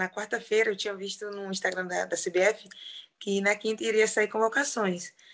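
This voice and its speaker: Against a quiet background, the voice sounds bright and sharp, with fairly even intonation. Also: woman. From Brazil, rural Piauí. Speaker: professional footballer. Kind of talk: interview.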